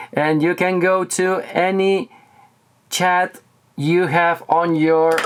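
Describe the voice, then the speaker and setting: Against noticeable background noise, a man with a Spanish accent speaks in a high pitch. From Spain, Barcelona. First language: Catalan or Spanish. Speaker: tech reviewer. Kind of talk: tutorial. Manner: halting.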